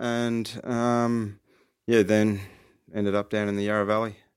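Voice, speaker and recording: A man with an Australian accent. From Australia, rural Victoria near Ballarat. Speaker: winemaker. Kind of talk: interview. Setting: studio.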